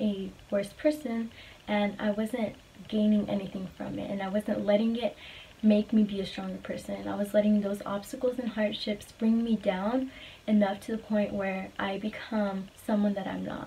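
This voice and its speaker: A woman at a medium pitch and a moderate pace, in a monotone, flat intonation. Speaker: vlogger. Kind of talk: casual monologue vlog. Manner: trembling, quaky voice when passionate.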